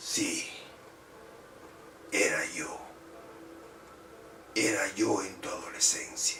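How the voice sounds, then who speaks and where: A man whispers very slowly in a raspy, put-on character voice. Clear background noise runs underneath. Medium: read story. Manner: menacing, mocking.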